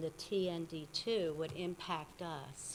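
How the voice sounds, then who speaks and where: This woman has a fairly low pitch. Her intonation stays fairly even. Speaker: resident making public comment. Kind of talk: public comment at township meeting. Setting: township meeting room with microphone.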